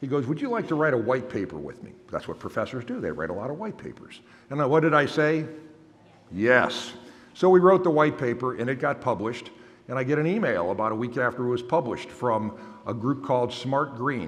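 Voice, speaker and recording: Audible room echo and noticeable background noise surround a man speaking at a fairly quick pace with lively intonation. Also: medium pitch for a man. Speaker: innovation executive and keynote speaker. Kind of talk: keynote speech. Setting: conference stage with audience. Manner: loud. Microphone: microphone held far away.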